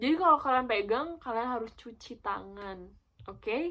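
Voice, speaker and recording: A woman with a high pitch talks at a fairly quick pace. Her intonation is lively. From Netherlands. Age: young. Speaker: YouTuber. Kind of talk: casual talk to camera.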